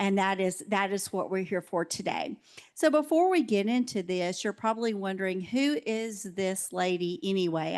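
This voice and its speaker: Someone speaks at a moderate pace with lively intonation against a quiet background. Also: woman. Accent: Alabama. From US South. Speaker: education specialist. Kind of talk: conference talk. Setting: conference breakout room with audience. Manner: loud.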